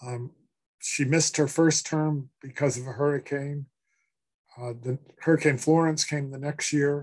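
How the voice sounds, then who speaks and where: With an American accent, a man talks at a moderate pace in a fairly high, somewhat breathy voice, his intonation flat and monotone, his loudness swinging widely, and long pauses coming often. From Massachusetts (Worcester). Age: 60s. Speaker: author and professor. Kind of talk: interview. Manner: halting, many fillers.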